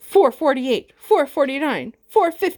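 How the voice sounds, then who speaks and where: Mumbling in a put-on character voice, a woman speaks at a moderate pace and a high pitch with lively intonation. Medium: read story. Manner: mumbling, tired.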